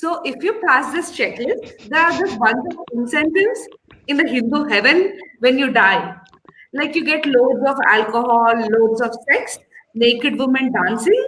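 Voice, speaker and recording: With an Indian accent, a woman speaks at a fairly slow pace, her pitch swinging very widely, and the room echo is audible. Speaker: comedian. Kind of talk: stand-up.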